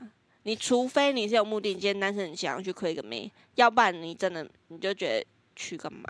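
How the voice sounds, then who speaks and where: A woman talks at a fairly quick pace with lively intonation, medium pitch and a normal speaking voice. The sound is dry and close, with no echo. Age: 20s. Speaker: podcast co-host. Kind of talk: casual chat.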